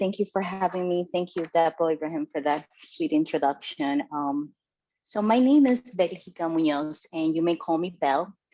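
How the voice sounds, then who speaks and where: A woman with a Spanish accent talks at a moderate pace in a dark, mellow tone, her fairly low voice moving with lively intonation. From Dominican Republic. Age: 40s. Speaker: club member giving first speech. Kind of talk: prepared speech.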